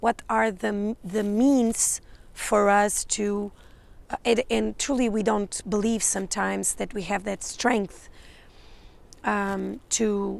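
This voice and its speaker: A woman's very slow speech in a Portuguese accent. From Portugal. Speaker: psychic and spiritual mentor. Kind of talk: channeled energy update monologue. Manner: halting, many fillers and restarts.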